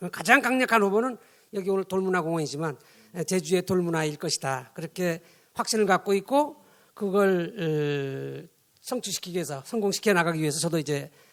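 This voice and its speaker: A man speaks fairly quickly at a high pitch. His intonation is lively. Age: 60s. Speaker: professor, discussant. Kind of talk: panel discussion remarks. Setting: conference with audience.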